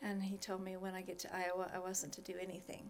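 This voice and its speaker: This is a woman speaking at a medium pitch. She has an American accent. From Wyoming, US. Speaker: spiritual director. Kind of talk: interview conversation.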